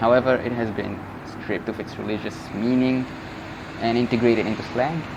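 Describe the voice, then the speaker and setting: A man at a fairly quick pace with fairly even intonation, amid noticeable background noise and audible room echo. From Egypt (north). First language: Egyptian Arabic. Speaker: language teacher YouTuber. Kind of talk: tutorial. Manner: casual.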